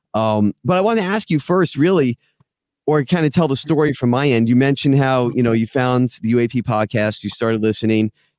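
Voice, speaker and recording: A lively, fairly quick voice comes through dry and close with no echo, in a very clean recording over a silent background. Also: man. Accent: American. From South Florida. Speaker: podcast host. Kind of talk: casual interview. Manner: hesitant with fillers.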